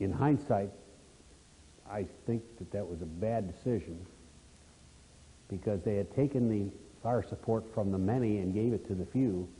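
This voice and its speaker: Somewhat breathy and dark and mellow in tone, a man speaks at a fairly low pitch and moderate pace with ordinary pitch variation and long, frequent pauses. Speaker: retired army aviation officer. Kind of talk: interview answer.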